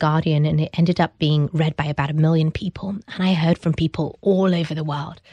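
A woman with a British accent speaks at a very fast pace, her voice fairly low, dark and mellow, with ordinary pitch variation. It is somewhat breathy, and the sound is dry and close with no echo. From England, British Pakistani. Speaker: entrepreneur. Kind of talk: interview. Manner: hesitant, many fillers.

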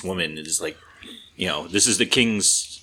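A man speaks over noticeable background noise. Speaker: podcast co-host. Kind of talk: casual chat.

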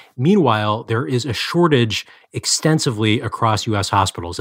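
In a very clean recording with a silent background, a man speaks at medium pitch with ordinary pitch variation in a plain, everyday voice. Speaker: health policy reporter. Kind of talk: interview about news.

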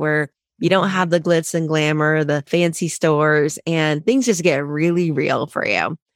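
A woman with an American accent in a normal speaking voice, fairly low in pitch, at a moderate pace, dry and close with no echo, on a very clean recording with a silent background. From Ohio, Cincinnati. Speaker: accountant and author. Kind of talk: interview.

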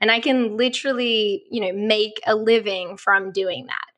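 Speaking with an Australian accent, a woman talks at a moderate pace in a fairly high voice. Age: 30s. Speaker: travel blogger and photographer. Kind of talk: casual interview chat.

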